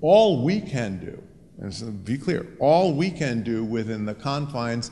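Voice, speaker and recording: A man speaks over light background noise. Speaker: college president; panelist. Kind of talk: panel discussion. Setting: stage with audience. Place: hall. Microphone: handheld.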